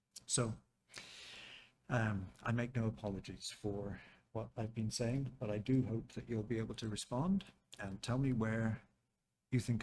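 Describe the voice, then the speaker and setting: A man with a medium pitch and fairly even intonation sounds somewhat breathy. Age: 70s. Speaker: professor. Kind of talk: lecture. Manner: hesitant, many fillers.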